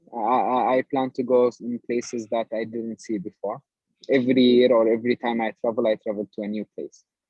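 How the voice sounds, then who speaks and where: A man speaks with an Arabic accent at a medium pitch and a fairly quick pace. His intonation is monotone and flat. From Palestine. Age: 20s. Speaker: project manager. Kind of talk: research interview. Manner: halting, many repetitions.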